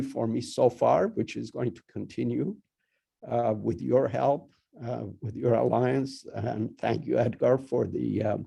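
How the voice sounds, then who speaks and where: The speaker has a Persian accent. The pace is fairly slow. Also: man. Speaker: university dean. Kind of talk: welcome speech. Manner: halting, many fillers and repetitions.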